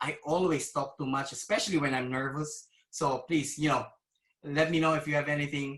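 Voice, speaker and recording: A man with a non-native accent speaks in a fairly high pitch, his intonation monotone and flat. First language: not English. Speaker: cybersecurity executive. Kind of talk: conference presentation. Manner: hesitant, many fillers.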